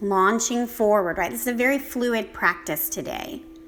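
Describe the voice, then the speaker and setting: A woman's fairly high voice with lively intonation, over noticeable background noise. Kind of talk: guided yoga class. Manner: casual, chatty.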